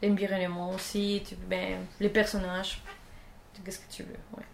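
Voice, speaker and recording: A woman with a Spanish accent speaks at medium pitch in a monotone, flat intonation. Noticeable background noise runs underneath. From Colombia. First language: Spanish (speaking French). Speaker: 3D character artist. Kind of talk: casual interview. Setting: at her home, filmed. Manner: halting.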